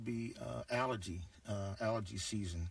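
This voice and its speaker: A man's animated, somewhat breathy voice with ordinary pitch variation. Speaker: guest radio host. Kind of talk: talk radio call-in show.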